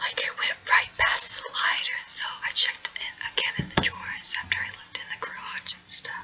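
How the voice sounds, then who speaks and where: Fairly quick whispering over noticeable background noise. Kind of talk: ASMR video talk. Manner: whispered.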